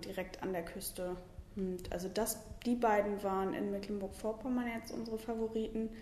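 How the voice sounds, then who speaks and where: Amid noticeable background noise and audible room echo, a woman speaks at a medium pitch and moderate pace with fairly even intonation. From Lower Saxony, Germany (Hildesheim). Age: 20s. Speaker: cycling tour fundraiser. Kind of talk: interview.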